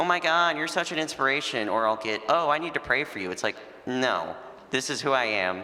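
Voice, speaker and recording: A man's fairly quick, lively-intoned speech against noticeable background noise. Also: medium pitch for a man. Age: 20s. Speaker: panelist living with Duchenne. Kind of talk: panel discussion. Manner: casual, conversational.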